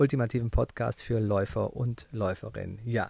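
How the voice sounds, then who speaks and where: An ordinary speaking voice from a man, medium in pitch, at a moderate pace. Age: 30s. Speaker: podcast host, running coach. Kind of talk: solo podcast monologue. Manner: casual, conversational.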